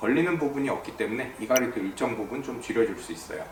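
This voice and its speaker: Noticeable background noise and audible room echo surround the speaker. A man talks at a medium pitch. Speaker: dentist. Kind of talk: explainer video.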